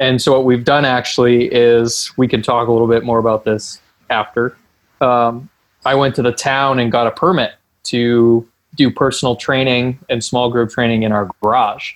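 This man talks at a moderate pace and medium pitch, his intonation monotone and flat and his loudness very even. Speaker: strength and conditioning coach. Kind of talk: podcast interview.

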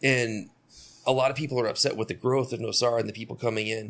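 Talking at a fairly quick pace, a man uses a normal speaking voice with fairly even intonation. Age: 40s. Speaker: podcast host. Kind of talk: casual chat.

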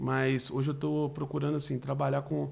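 With fairly even intonation and a medium pitch, the man speaks in a plain, everyday voice. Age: 20s. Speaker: talent manager for digital influencers. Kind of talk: casual interview.

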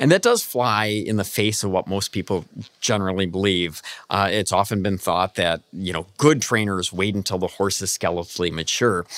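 Recorded very cleanly against a silent background, a man with an American accent uses an ordinary speaking voice at a fairly low pitch and a moderate pace. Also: ordinary pitch variation. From Michigan, US Midwest. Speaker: professor of equine exercise physiology. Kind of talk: interview.

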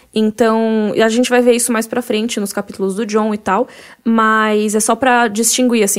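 In a normal speaking voice, a woman with a fairly high pitch talks at a moderate pace. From Brazil, Cuiabá. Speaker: podcast host. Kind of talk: casual chat.

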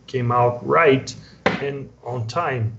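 A medium-pitched man with a Portuguese accent speaks amid noticeable background noise and audible room echo. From Brazil, São Paulo area. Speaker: comic book artist. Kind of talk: casual interview.

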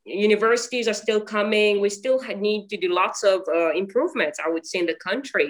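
A woman with a Mauritian accent and medium pitch, fairly quick, with hardly any pauses and lively intonation. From Mauritius. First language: Mauritian Creole. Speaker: actor and acting teacher. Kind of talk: interview. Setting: video call. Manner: halting.

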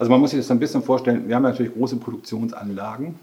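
A man talks with fairly even intonation while noticeable background noise fills the recording. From northern Germany, Schleswig-Holstein near Brunsbüttel. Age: 50s. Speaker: vocational training manager. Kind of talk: interview.

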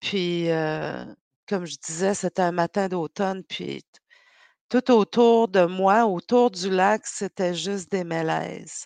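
A woman speaks very slowly with long, frequent pauses and fairly even intonation. Her sound is dry and close, with no echo. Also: medium pitch for a woman, quiet background. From Quebec North Shore, Innu community. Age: 50s. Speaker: novelist and poet. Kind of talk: interview.

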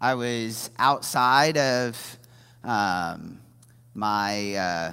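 A man with an American accent talks in a very clean recording against a silent background. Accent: Midwestern American with some Southern drawl. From US Midwest, Indiana. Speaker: lay preacher. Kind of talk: sermon. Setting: church stage with congregation.

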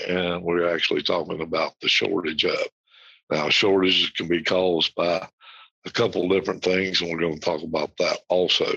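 A bright, sharp tone with an American accent, the sound dry and close with no echo. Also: man. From United States. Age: 60s. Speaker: podcast host. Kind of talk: solo podcast talk.

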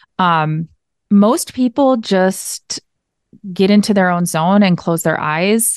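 Against a quiet background with a dry, close sound with no echo, a woman of medium pitch speaks at a fairly slow pace in a Minnesotan accent. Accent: Minnesota. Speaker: yoga teacher. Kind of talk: interview.

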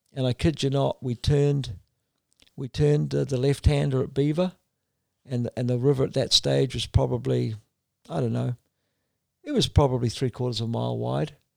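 With a New Zealand accent, a man speaks at a moderate pace, leaving long, frequent pauses. The sound is dry and close with no echo. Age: 60s. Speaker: endurance kayak racer. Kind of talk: interview conversation.

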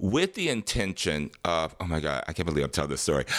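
Captured in a very clean recording with a silent background, a man speaks at a very deep, low pitch with vocal fry. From Detroit, Michigan, US Midwest. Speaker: dancer, singer, actor, choreographer. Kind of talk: casual interview, storytelling.

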